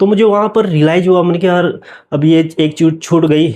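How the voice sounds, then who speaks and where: A man's voice with ordinary pitch variation. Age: 40s. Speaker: vlogger sharing personal story. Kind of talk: personal testimony. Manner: casual, filler-heavy with self-corrections.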